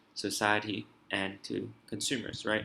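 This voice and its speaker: The man's voice carries a bright, sharp tone. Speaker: IB economics tutor. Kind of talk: tutorial. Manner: fast.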